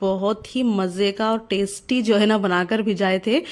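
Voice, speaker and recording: A woman talks at a fairly high pitch in a monotone, flat intonation. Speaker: housewife and mother vlogger. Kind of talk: casual vlog talk to camera.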